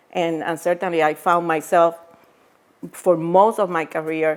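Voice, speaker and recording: A woman's very deep, low voice in a Puerto Rican accent, at a moderate pace. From Puerto Rico. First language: Spanish. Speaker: former biotech executive and author. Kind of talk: interview. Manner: hesitant, many fillers.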